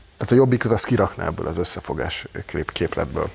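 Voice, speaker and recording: A man speaks with very wide pitch swings while noticeable background noise runs underneath. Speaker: political commentator. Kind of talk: panel discussion.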